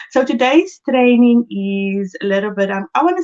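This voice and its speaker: In a South African accent, a woman speaks with lively intonation. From South Africa, Cape Town. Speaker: book coach and speaker. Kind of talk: live-stream motivational talk. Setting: Facebook live stream.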